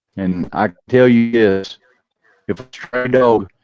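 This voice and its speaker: An American accent from a man with fairly even intonation. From Oklahoma. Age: 60s. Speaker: game fowl and dog breeder. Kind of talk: podcast interview.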